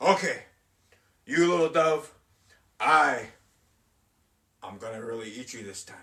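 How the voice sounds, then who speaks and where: A put-on character voice, growling with very wide pitch swings, at a moderate pace broken by long, frequent pauses. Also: man, fairly high pitch for a man. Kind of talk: storytelling. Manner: growling, threatening.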